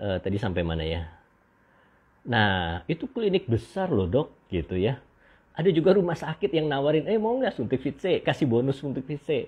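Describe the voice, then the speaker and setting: A man at a moderate pace, his pitch swinging very widely. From Indonesia. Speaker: doctor hosting beauty livestream. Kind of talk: livestream monologue. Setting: live stream. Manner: halting with many fillers. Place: home room. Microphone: earbuds.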